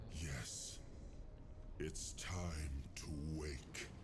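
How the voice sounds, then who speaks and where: Over loud background noise, a man performs a put-on character voice. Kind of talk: game voice acting, regal. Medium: machinima. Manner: formal, measured, stately.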